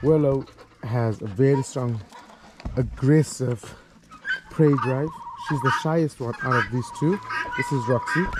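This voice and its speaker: A man talks at a fairly slow pace in a medium pitch. There is noticeable background noise. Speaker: vlogger and chicken farmer. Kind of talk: casual vlog. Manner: hesitant with fillers.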